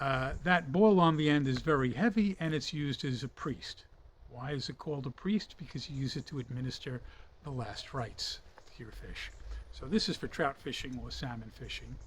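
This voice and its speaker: With an American accent and vocal fry, a man of fairly high pitch talks at a moderate pace with lively intonation. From United States. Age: 60s. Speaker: fishing hobbyist and reviewer. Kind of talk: product review. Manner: casual, with frequent fillers.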